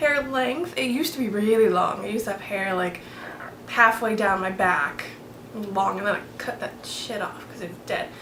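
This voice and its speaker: A woman with an American accent speaks at a moderate pace and a fairly high pitch. Audible room echo and noticeable background noise are present. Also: lively intonation. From Florida. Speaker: beauty vlogger. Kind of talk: casual chat.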